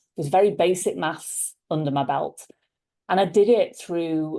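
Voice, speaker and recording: A woman talks with a Liverpool accent in a dark, mellow tone. The background is quiet. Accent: Liverpool (Scouse) English. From Liverpool, England. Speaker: leadership coach. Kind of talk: interview conversation.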